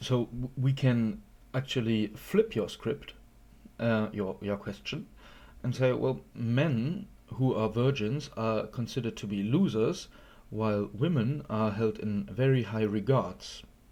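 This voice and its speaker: On a very clean recording with a silent background, a man talks at a fairly slow pace. His medium-pitched voice has a dark, mellow tone and ordinary pitch variation. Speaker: YouTube commentator. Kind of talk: response video commentary. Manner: halting, many fillers.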